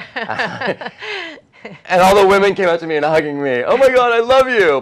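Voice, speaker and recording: Very wide pitch swings from a man against a quiet background. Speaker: interview guest, life coach. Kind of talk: interview answer. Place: studio. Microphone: lapel.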